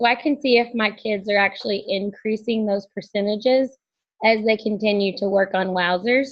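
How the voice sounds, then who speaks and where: A woman with an unremarkable speaking voice, fairly high pitch, fairly even intonation, moderate pace. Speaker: fifth-grade teacher. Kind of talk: webinar presentation. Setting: online webinar.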